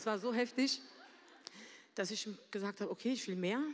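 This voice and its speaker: The woman speaks with lively intonation. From Berlin, Germany. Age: 40s. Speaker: church member sharing a story. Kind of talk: testimony. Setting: stage with audience.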